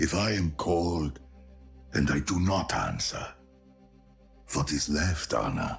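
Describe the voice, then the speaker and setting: The speaker uses a put-on character voice with lively intonation and very even loudness at a fairly slow pace. Long, frequent pauses break it up, and faint music plays in the background. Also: man, very deep, low pitch for a man. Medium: game stream. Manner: hearty, warm.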